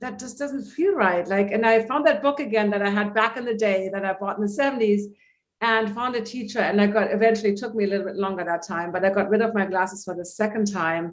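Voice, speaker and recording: This woman has a plain, everyday voice, pitched fairly high, with ordinary pitch variation and a fairly quick pace. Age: 60s. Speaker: holistic vision coach. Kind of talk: interview.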